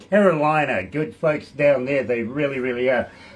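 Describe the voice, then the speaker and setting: A man with a New Zealand accent. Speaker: radio host. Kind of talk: radio show hosting. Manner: fast.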